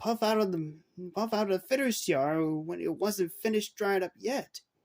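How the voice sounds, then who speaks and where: A man uses a put-on character voice pitched high. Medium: read story.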